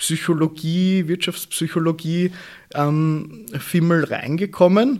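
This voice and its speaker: The man speaks with a high pitch. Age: 20s. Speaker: e-commerce consultant. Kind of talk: interview.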